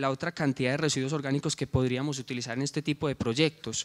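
This man rattles along at a very fast pace, the background quiet. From Colombia, coffee region. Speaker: social entrepreneur, former rural teacher; presenter. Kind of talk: project presentation. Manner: halting, with filler sounds. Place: hall. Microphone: handheld.

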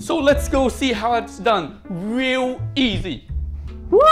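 A man at a very slow pace over clear music in the background. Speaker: home cook vlogger. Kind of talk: casual cooking tutorial. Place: kitchen. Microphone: lapel.

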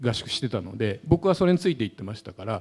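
A man's dark, mellow tone with vocal fry and very wide pitch swings. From Japan. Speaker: sports journalist. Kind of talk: talk show panel. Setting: stage with audience. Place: hall. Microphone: handheld.

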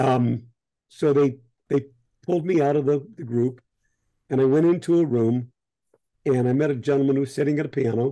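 In an American accent, a man with a fairly high pitch and a dark, mellow tone speaks at a fairly quick pace with fairly even intonation and very even loudness against a quiet background. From US Midwest. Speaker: voice actor. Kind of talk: casual interview. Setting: video call from his home office. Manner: halting, many fillers and laughs. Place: home room. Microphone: video call.

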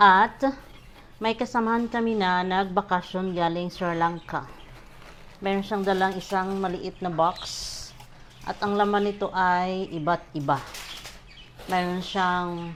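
The speech is very slow, broken by long, frequent pauses. Intonation stays fairly even. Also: woman, medium pitch for a woman. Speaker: vlogger, overseas worker. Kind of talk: casual food-tasting vlog.

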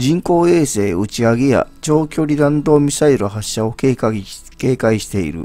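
A man speaks at a fairly slow pace with a medium pitch and lively intonation while music plays in the background. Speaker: YouTube news commentator. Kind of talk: news article reading.

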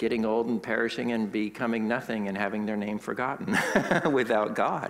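At a fairly quick pace, a man speaks. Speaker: pastor. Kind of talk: sermon. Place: church.

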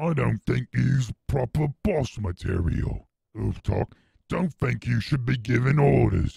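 Growling and put on as a character voice, the speech moves at a fairly slow pace. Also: man, medium pitch for a man. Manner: menacing, growling.

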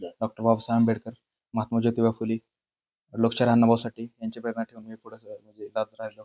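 Recorded dry and close with no echo, a man speaks at a medium pitch in a dark, mellow tone with monotone, flat intonation. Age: 20s. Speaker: air force recruit. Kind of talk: interview. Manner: halting.

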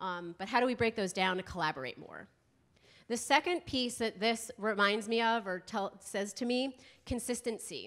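A woman with an American accent and an unremarkable speaking voice talks at a moderate pace, fairly high in pitch, with ordinary pitch variation, over a quiet background. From US East Coast. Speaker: school health consultant, presenter. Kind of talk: conference workshop presentation. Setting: conference room with live audience and microphone. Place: hall. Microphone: handheld.

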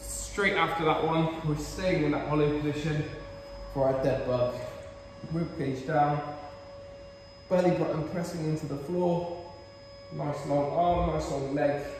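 A man speaks at a fairly slow pace with long, frequent pauses and fairly even intonation, in a room with strong echo and light background noise. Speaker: fitness coach. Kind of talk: tutorial. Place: gym. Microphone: camera far.

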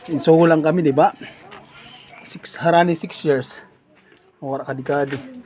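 At a moderate pace, a man speaks with fairly even intonation, big swings in loudness and long, frequent pauses. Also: fairly high pitch for a man. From Philippines, Samar (Calbayog area). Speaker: vlogger. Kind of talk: casual travel vlog.

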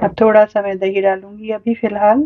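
Moderate pace, little pitch movement, and a dry, close sound with no echo. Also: woman, medium pitch for a woman.

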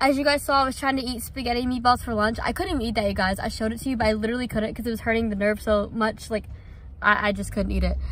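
Light background noise behind a woman speaking. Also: dry sound with no echo. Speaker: vlogger. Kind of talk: casual vlog chat. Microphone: phone near.

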